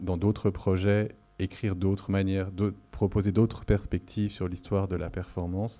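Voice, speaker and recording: Speaking fairly slowly, a man with a very deep, low pitch has a dark, mellow tone. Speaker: curator and lecturer. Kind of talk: lecture. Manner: monotone; hesitant, many fillers.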